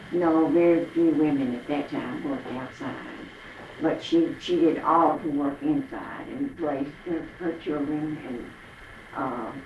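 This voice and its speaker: A woman speaks with a Southern US accent at a fairly slow pace. The room has an audible echo. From Arkansas, US South. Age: 80s+. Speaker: elderly interviewee recalling the Depression. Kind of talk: oral history interview. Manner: halting.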